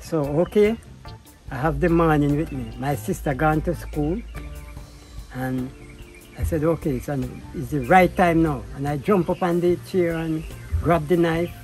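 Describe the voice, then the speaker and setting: A man at a fairly slow pace, long, frequent pauses throughout, with music in the background. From Jamaica. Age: 70s. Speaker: self-taught artist. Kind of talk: life story interview.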